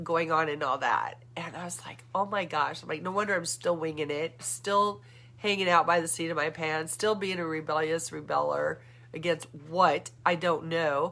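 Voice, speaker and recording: A woman's fairly low, animated voice at a moderate pace, with ordinary pitch variation and noticeable background noise. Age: 60s. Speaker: vlogger. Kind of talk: casual monologue. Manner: halting.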